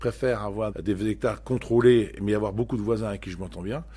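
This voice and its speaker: A man's fairly low, dark and mellow voice with fairly even intonation at a moderate pace. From Normandy, France (Cotentin, Manche). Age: 60s. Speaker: dairy farmer and farm union leader. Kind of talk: podcast testimony. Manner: hesitant, many fillers and repetitions.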